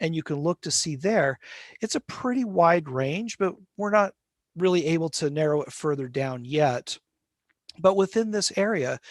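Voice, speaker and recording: A man with an American accent speaks in an unremarkable speaking voice at a moderate pace. His fairly high pitch carries lively intonation, with dry, close sound and no echo. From Utah (Salt Lake City). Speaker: linguistics professor. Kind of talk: lecture.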